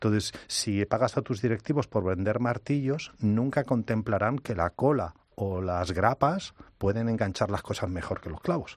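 A man with a Spanish accent speaks at a moderate pace with ordinary pitch variation, and the sound is dry and close with no echo. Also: fairly low pitch for a man, quiet background. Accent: Spanish (Spain). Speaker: innovation consultant and speaker. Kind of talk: interview.

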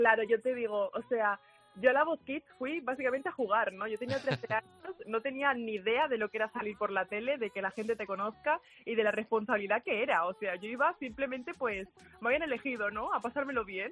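A woman speaks fairly quickly at a fairly high pitch, with ordinary pitch variation. The sound is dry and close, with no echo. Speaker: singer. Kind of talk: interview.

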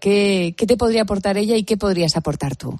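At a moderate pace and medium pitch, a woman speaks in a normal speaking voice against a quiet background. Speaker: late-night radio host. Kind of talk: radio interview. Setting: radio studio.

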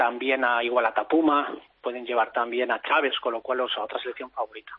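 Talking at a fairly quick pace, a man speaks in a monotone with flat intonation. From Spain, Madrid region. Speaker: retired pro cyclist. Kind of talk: interview. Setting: phone call.

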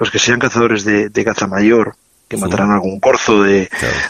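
In a normal speaking voice, a man speaks at a fairly quick pace with medium pitch and fairly even intonation. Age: 40s. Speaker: chef. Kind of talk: interview and recipe explanation.

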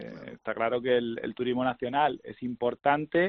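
Delivered at a moderate pace, this is an unremarkable speaking voice. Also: man. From Andalusia. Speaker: golf industry guest. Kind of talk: casual interview. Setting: phone call.

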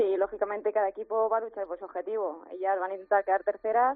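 A woman speaks at a very fast pace. Her medium-pitched voice holds fairly even intonation. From Madrid, Spain. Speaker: footballer. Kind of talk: phone interview. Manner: hesitant, many fillers.

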